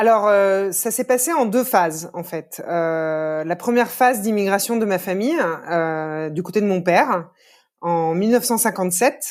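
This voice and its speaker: A woman's normal speaking voice at medium pitch, fairly slow, with ordinary pitch variation, on a very clean recording with a silent background. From France, Lyon. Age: 30s. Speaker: podcast guest. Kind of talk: interview conversation.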